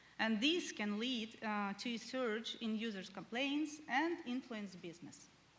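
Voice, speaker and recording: Amid audible room echo, a woman with a fairly high pitch and lively intonation speaks at a fairly slow pace. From Ukraine. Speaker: head of support, conference speaker. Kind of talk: conference presentation. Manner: hesitant, many filler sounds.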